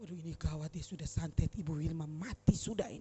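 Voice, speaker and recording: A woman's very deep, low voice, fairly quick, with a dark, mellow tone and vocal fry. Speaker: preacher. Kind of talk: sermon. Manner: animated.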